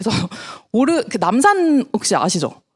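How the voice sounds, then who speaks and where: Against noticeable background noise, a woman with a high pitch speaks at a moderate pace, her pitch swinging very widely. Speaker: network marketing distributor. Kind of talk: business presentation to audience.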